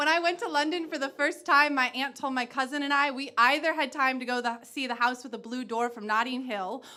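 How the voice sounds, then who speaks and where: A woman uses a raised, projected voice. Her pitch is high, with ordinary variation. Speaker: spoken word poet. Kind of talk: spoken word poetry performance.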